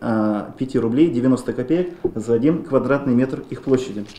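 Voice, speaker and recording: Audible room echo fills the space around a man's voice. His pitch varies in an ordinary way. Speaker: regional land control official. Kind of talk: formal meeting presentation. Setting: administration meeting. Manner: formal. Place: meeting room. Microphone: podium.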